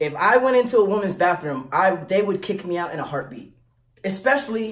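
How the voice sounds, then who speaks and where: The setting is quiet. His speech moves at a moderate pace, and his pitch varies in an ordinary way. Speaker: vlogger giving advice. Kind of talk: casual vlog chat.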